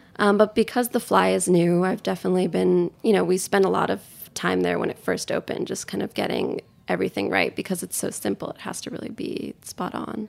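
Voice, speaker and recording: She talks in a New York accent. Her pace is very fast. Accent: New York American. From New York City, with five childhood years in Tokyo. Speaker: chef and restaurant co-owner. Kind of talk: interview conversation.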